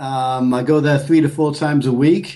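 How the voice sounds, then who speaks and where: A man with a strong northern English accent, fairly high in pitch, dark and mellow in tone, fairly even in intonation, at a moderate pace. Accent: northern English, still strong. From northern England, Bolton near Manchester. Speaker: engineer and men's health coach. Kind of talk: podcast interview.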